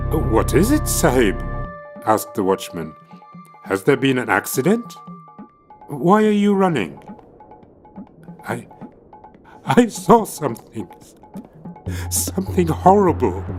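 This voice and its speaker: Music plays in the background as the speaker moves at a fairly slow pace with long, frequent pauses. The pitch swings very widely. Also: man. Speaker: actor and scholar. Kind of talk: ghost story reading.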